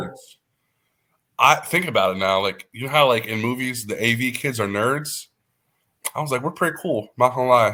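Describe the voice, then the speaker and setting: In an American accent, a man at a medium pitch speaks at a moderate pace in a bright, sharp, animated tone, with ordinary pitch variation, big swings in loudness, and long, frequent pauses. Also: very clean recording, silent background. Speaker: radio host. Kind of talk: casual chat.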